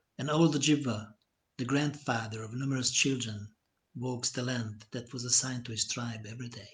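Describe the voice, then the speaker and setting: A man's medium-pitched, somewhat breathy voice at a moderate pace, fairly even in intonation, with long, frequent pauses. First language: Hungarian. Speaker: poet. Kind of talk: poetry reading. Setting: live stream.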